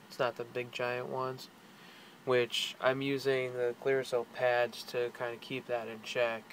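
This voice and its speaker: A man's medium-pitched, flat monotone at a fairly slow pace, with noticeable background noise. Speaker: video blogger. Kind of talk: personal vlog. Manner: casual, hesitant with fillers.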